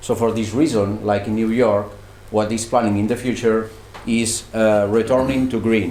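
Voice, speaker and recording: A man's monotone, flat voice at a moderate pace, with audible room echo and noticeable background noise. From Catalonia, Spain (Barcelona). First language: Catalan or Spanish. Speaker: student researcher. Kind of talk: presentation. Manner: halting.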